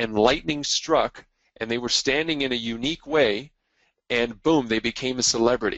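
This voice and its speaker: In a normal speaking voice, a man with a Canadian accent talks at a moderate pace and medium pitch. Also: ordinary pitch variation. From Quebec, Montreal. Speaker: marketing and media speaker. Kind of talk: webinar presentation. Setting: call. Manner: frequent fillers (uh, um).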